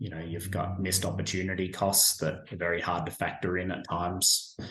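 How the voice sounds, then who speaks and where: In an Australian accent, a man with a very deep, low pitch speaks at a moderate pace in a monotone, flat intonation. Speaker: staffing agency professional, military veteran. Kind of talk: interview answer.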